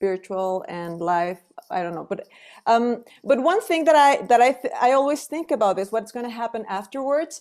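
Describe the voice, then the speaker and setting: In a strong Mexican accent, a woman speaks at a high pitch with very wide pitch swings and big swings in loudness. The recording is very clean, with a silent background. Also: moderate pace. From Mexico. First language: Spanish. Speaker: singer. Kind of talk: panel conversation.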